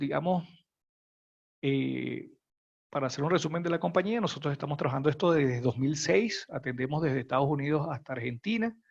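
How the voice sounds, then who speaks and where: Fairly quick, somewhat breathy speech from a man with a fairly high pitch. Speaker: functional safety consultant. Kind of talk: webinar presentation. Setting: online webinar. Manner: quiet.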